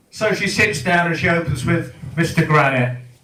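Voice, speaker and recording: A man at a fairly high pitch and moderate pace, with audible room echo and noticeable background noise. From England. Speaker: comedian. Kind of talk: stand-up. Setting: stage with audience. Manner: animated.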